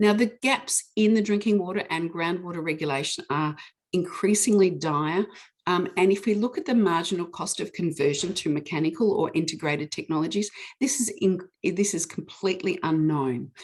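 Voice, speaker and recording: A woman speaks with a New Zealand accent. Her pitch is medium, with ordinary variation. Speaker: witness giving evidence on pesticide regulation. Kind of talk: testimony at a public hearing with slides. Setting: online public hearing. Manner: fast.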